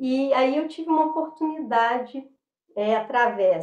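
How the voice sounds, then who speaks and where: A woman talks high in pitch, her intonation lively. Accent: Minas Gerais. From Minas Gerais, Brazil (Belo Horizonte). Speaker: dancer and tai chi practitioner. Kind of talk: interview. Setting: video call. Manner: halting, many fillers.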